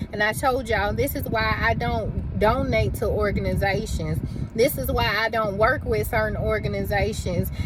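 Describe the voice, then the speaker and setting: A woman talks in an animated tone, with audible room echo and noticeable background noise around her. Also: moderate pace. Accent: Southern US. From US South, Birmingham, Alabama. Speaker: YouTuber, abuse survivor. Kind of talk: casual vlog rant.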